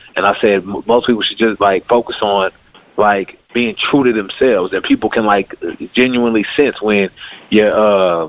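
Against noticeable background noise, a man speaks at a moderate pace, fairly low-pitched and with fairly even intonation. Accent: American. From Nigerian American, US. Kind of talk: casual chat.

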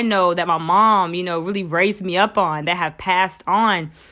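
A woman talks at a moderate pace in a bright, sharp tone, her medium pitch showing ordinary variation. The recording is very clean and the background silent. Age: 20s. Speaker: podcast host. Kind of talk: motivational monologue.

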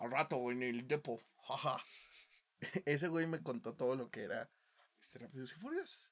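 At a moderate pace and in a Mexican accent, the speaker shows ordinary pitch variation, big swings in loudness and long, frequent pauses. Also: man, fairly high pitch for a man. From Mexico, small town. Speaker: podcast host. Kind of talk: casual chat.

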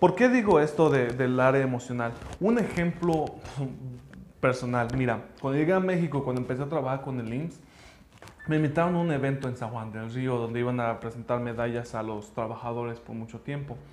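Audible room echo surrounds a man talking at a fairly quick pace, his medium pitch showing ordinary variation. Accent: English. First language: English (speaking Spanish). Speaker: language school founder. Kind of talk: personal story monologue.

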